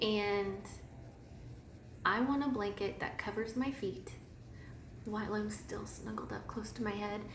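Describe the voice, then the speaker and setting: Someone with a Midwestern American accent speaks at a fairly slow pace, with audible room echo and noticeable background noise. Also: woman. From US Midwest, northwest Missouri. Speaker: knitting podcaster. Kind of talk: casual personal story monologue.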